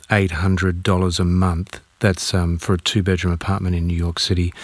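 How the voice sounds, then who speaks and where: A man with an Australian accent speaks at a moderate pace in a very deep, low voice with monotone, flat intonation. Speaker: radio host. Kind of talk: radio interview.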